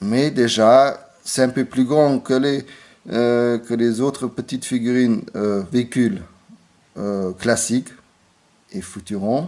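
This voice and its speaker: Speaking very slowly with a non-native accent, a man leaves long, frequent pauses, his medium pitch varying in an ordinary way and his tone dark and mellow. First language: not French (speaking French). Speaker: toy reviewer. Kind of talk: product review. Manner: halting, many hesitations.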